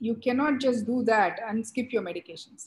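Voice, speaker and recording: A woman talks at a moderate pace, her voice fairly high and somewhat breathy. Her intonation stays fairly even. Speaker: glaucoma surgeon. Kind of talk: panel discussion.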